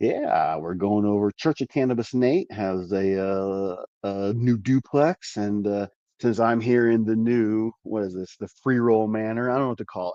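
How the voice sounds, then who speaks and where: A man with an American accent speaks at a moderate pace in a dark, mellow tone, with fairly low pitch and ordinary pitch variation. The sound is dry and close, with no echo. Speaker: cannabis grow show host. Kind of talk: casual chat. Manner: quieter than usual.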